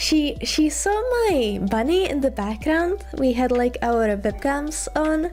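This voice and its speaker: Music plays behind a woman with a non-native accent and a high pitch who speaks at a very slow pace. Her intonation is lively, and her loudness stays very even. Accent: noticeable non-native. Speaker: vtuber streamer. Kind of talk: casual chat.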